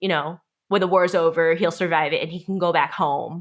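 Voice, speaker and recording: In a Korean accent, a woman with a fairly low voice speaks at a moderate pace in a monotone, flat intonation. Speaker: performance artist and filmmaker. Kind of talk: casual podcast interview. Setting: podcast recording.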